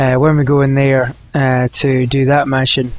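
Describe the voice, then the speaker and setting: A man talks at a fairly slow pace. His medium-pitched voice stays monotone and flat. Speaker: gaming YouTuber. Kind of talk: gameplay commentary. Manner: many filler words, hesitant.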